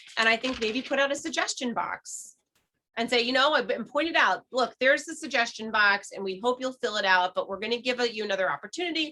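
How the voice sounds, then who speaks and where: She speaks loudly at a very fast pace. Her voice is high-pitched for a woman. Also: lively intonation. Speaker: parks committee member. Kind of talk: committee meeting discussion.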